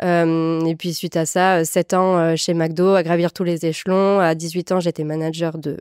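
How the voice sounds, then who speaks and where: The speaker has a southwestern French accent and a moderate pace. The intonation is monotone and flat, and the sound is dry and close with no echo. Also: woman. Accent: south-western French (Landes). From France, Landes (south-west). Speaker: entrepreneur, personal branding agency founder. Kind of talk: interview. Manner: hesitant, many fillers.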